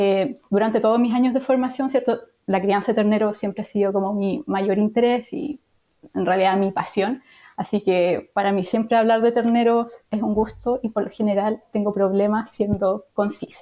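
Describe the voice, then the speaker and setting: A woman's fairly high voice with a Chilean accent, dark and mellow in tone, at a moderate pace with fairly even intonation. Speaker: veterinarian and professor. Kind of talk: interview.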